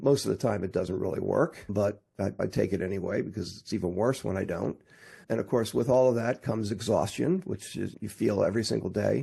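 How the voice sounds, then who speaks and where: Over a quiet background, a man talks at a fairly quick pace with a fairly low pitch, a dark, mellow tone, vocal fry, and ordinary pitch variation. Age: 60s. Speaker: technology and marketing entrepreneur. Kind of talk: interview.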